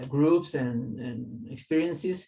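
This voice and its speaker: A man with a Spanish accent, lively intonation and a fairly slow pace. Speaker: holistic teacher. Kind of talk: casual interview chat.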